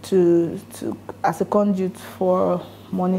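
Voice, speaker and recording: A soft-spoken woman at medium pitch, monotone and flat in intonation. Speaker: lawyer, NGO founder. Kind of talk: motivational talk to an audience.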